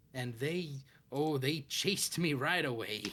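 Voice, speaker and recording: Here a man performs a put-on character voice. It sits at a medium pitch and moves at a fairly slow pace. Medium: actual play. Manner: folksy, rambling, ominous.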